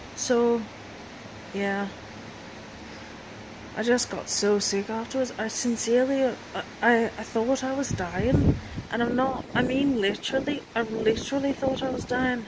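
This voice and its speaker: High-pitched and fairly slow, a woman speaks with fairly even intonation and long, frequent pauses against noticeable background noise. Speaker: chronically ill patient. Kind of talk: casual talk to camera.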